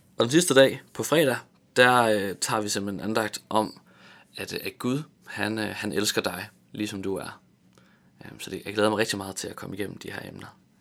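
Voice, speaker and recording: Recorded very cleanly against a silent background, a man speaks at a moderate pace with a fairly low pitch, ordinary pitch variation, big swings in loudness, and long, frequent pauses. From Tanzania and Vejle area, Denmark. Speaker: theology graduate giving devotionals. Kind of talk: radio interview. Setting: radio studio. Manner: halting, many fillers and repetitions.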